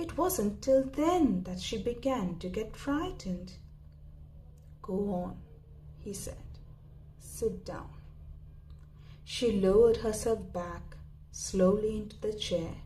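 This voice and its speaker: Noticeable background noise sits behind a woman speaking at a fairly high pitch with lively intonation. She goes very slowly, with long, frequent pauses. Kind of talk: story reading, audiobook-style narration. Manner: soft-spoken, whispery.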